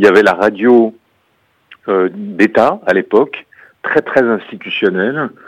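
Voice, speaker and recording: The background is quiet as a man speaks at a fairly slow pace. His pitch is medium. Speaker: radio executive. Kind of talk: radio interview.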